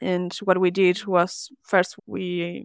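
A woman's fairly low voice with a Spanish accent, dry and close with no echo, on a very clean recording with a silent background. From Argentina. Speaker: service designer. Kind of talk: interview.

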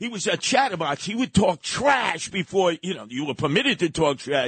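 A man with a high voice and a New York accent talks at a moderate pace. His pitch swings very widely, and the sound is dry and close with no echo. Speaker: radio host. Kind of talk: casual talk radio.

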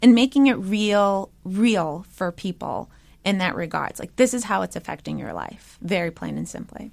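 In an American accent, the speaker goes at a moderate pace with ordinary pitch variation, vocal fry and big swings in loudness. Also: woman, medium pitch for a woman. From Michigan, Detroit area. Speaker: congressional candidate. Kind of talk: interview. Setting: studio.

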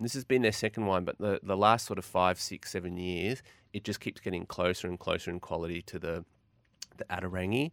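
With an Australian accent, a man talks at a fairly quick pace in a very deep, low pitch with ordinary pitch variation, recorded very cleanly against a silent background with a dry, close sound and no echo. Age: 40s. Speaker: wine merchant. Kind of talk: casual chat.

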